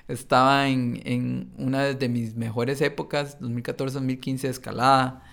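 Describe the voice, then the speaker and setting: On a very clean recording with a silent background, a man at medium pitch speaks very slowly in a monotone, flat intonation. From Costa Rica, San Carlos. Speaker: entrepreneur. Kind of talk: interview.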